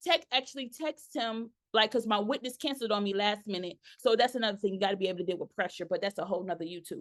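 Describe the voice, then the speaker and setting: A woman with an American accent talks at a very fast pace. Her intonation is lively and her tone animated. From New York. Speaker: notary signing agent and business coach. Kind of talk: tutorial.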